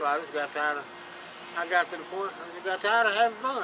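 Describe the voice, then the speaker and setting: A high-pitched man with a Southern US accent at a very fast pace, with noticeable background noise. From Chattanooga, Tennessee. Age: 60s. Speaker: homeless man. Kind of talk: interview. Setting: outdoors on a bridge. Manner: halting, repeats words.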